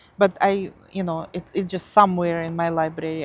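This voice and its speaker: A woman speaks at a moderate pace with a Russian accent. The background is quiet. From Siberia, Russia. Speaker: craft YouTuber. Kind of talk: casual show-and-tell vlog. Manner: halting, many fillers.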